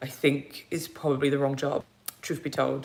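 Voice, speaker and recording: A woman talks at a moderate pace. Her voice is very deep and low. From England, east London. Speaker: YouTuber. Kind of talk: live stream chat. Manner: casual, halting.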